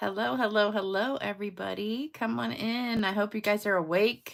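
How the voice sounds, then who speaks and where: A woman puts on a raspy character voice at a medium pitch. She keeps a moderate pace with ordinary pitch variation. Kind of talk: casual, greeting a live audience.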